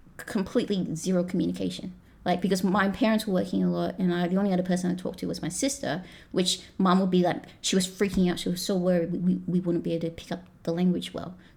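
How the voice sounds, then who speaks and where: Very fast and with fairly even intonation, a woman speaks with an American accent and vocal fry. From Australia, raised from age 3 (born Malaysia). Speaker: pastry chef. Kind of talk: casual chat.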